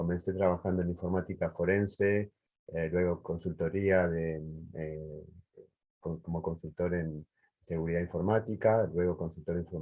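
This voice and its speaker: A man speaks in a very deep, low voice with a flat, monotone delivery. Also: moderate pace. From Uruguay. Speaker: cybersecurity engineer. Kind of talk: panel introduction.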